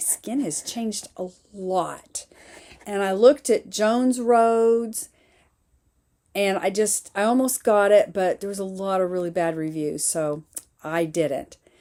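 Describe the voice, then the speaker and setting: A woman speaks at a medium pitch. Her pace is fairly slow. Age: 60s. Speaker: lifestyle YouTuber. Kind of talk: casual unboxing vlog. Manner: casual, hesitant with fillers.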